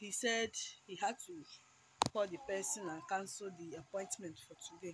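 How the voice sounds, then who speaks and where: Speech comes at a fairly slow pace. There is a somewhat breathy quality to the voice. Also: woman. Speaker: mom vlogger. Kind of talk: casual vlog to camera.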